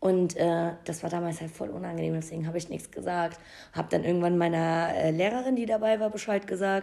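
A dark, mellow tone comes through at a fairly quick pace. The intonation stays fairly even. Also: woman, fairly low pitch for a woman. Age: 20s. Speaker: podcast co-host. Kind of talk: casual chat.

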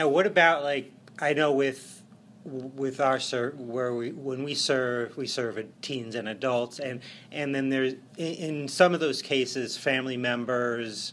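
A man at a medium pitch with an unremarkable speaking voice, a fairly slow pace and fairly even intonation. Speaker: podcast host. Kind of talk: interview conversation.

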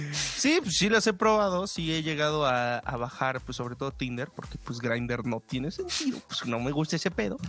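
This man's fairly high voice moves with lively intonation at a moderate pace. There are hardly any pauses, and background noise is noticeable. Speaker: podcast co-host. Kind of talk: casual chat.

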